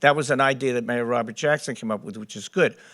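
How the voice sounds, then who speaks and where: The recording is very clean, the background silent. A man's voice is heard. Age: 70s. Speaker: council candidate. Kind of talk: candidate forum answer.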